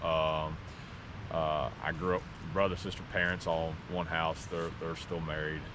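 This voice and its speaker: At a fairly slow pace, a man with a very deep, low voice speaks in a monotone, flat delivery amid audible room echo. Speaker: vlogger hiking with his partner. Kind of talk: casual personal talk on a hike. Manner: halting, many fillers.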